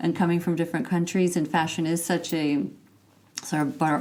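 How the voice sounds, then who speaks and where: Her pitch very deep and low, a woman speaks at a fairly quick pace with fairly even intonation. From Texas, USA. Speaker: fashion PR agency founder. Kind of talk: interview answer.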